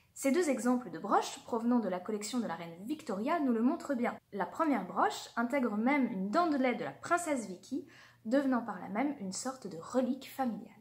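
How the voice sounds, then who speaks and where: Noticeable background noise accompanies a woman with a high pitch and lively intonation. She speaks at a fairly quick pace. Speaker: archaeology video creator. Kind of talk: educational narration. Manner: formal.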